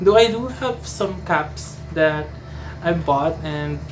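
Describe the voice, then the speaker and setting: Both audible room echo and noticeable background noise accompany a woman as she speaks. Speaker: fashion vlogger. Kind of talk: casual vlog talk to camera. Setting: at home, brother gaming nearby. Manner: halting, many false starts.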